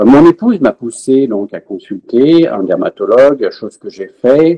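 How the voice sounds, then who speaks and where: A man talks at a fairly slow pace with big swings in loudness, recorded dry and close with no echo. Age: 60s. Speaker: patient, retired research engineer. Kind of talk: testimony. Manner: halting, many hesitations.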